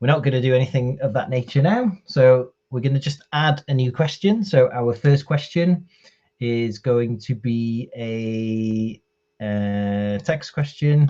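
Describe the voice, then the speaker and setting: A fairly slow delivery in a Welsh accent. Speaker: IT trainer. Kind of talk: tutorial. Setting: live stream from home.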